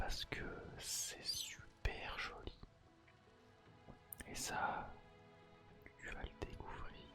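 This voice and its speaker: A whisper at a very slow pace, with long, frequent pauses and music in the background. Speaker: ASMR creator. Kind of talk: ASMR game walkthrough narration. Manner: whispered.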